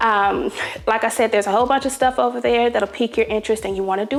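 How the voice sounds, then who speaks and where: A woman speaks in an enthusiastic tone. Her pitch is fairly high, with ordinary variation. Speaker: home decor vlogger. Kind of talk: sponsored product spotlight in a vlog. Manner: chatty, enthusiastic.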